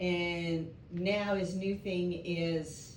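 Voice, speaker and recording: A fairly low-pitched woman with a strong New York accent and ordinary pitch variation, audible room echo around her. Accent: strong New York speech. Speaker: catechism class participant. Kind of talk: class discussion.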